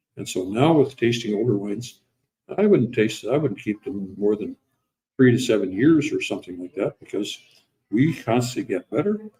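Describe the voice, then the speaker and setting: A man with an American accent speaks at a moderate pace in a dark, mellow tone, somewhat breathy, with lively intonation. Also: medium pitch for a man. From US Midwest, South Dakota. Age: 80s+. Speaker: winery founder. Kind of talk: casual conversation. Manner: halting, many fillers.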